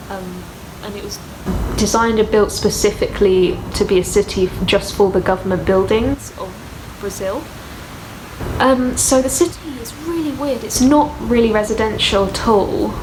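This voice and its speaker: Over noticeable background noise, a woman with a strong British accent speaks at a moderate pace in a fairly high pitch, with lively intonation and big swings in loudness. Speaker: author and vlogger. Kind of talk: casual travel vlog. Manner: casual with many fillers.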